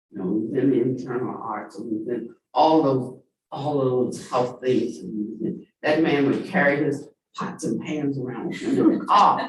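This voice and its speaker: Vocal fry and very wide pitch swings from a man at a moderate pace. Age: 70s. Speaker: dharma teacher. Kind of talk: sermon.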